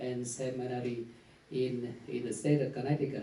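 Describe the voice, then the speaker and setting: A man with a Vietnamese accent, medium pitch and moderate pace, with audible room echo. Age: 40s. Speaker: priest. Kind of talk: conference talk. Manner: halting.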